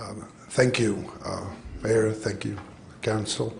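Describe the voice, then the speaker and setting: A man speaks with a Greek accent at a fairly low pitch and a fairly slow pace. The room echo is audible. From Greece. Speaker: public commenter. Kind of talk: public comment at council meeting. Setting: city council meeting.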